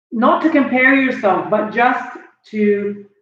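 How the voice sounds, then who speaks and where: A woman speaks at a fairly high pitch with ordinary variation, and audible room echo trails her voice. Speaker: motivational speaker. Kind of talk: motivational talk. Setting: live stream on Facebook. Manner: animated.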